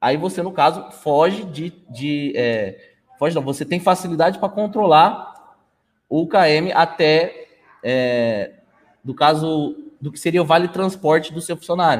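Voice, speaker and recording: A man with a normal speaking voice talks in a fairly high pitch with ordinary pitch variation. His pace is fairly slow, and his loudness swings widely. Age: 20s. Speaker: management systems consultant. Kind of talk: live stream interview.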